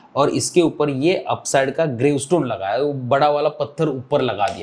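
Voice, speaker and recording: This is a man with a Marathi accent. His pitch is fairly high. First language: Marathi (speaking Hindi). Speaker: trading teacher. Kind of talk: tutorial. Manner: casual, conversational with fillers.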